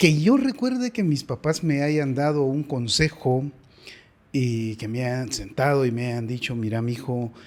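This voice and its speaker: A man speaks in an unremarkable speaking voice at medium pitch. His pace is fairly slow, with ordinary pitch variation. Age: 60s. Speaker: father of the host. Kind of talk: interview.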